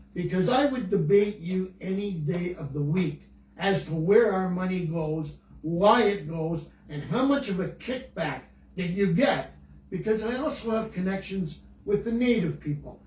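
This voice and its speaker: Fairly slow speech with audible room echo. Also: man, high pitch for a man, ordinary pitch variation. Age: 80s+. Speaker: senior guest on podcast. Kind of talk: casual chat. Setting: Facebook Live video call. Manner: animated; halting.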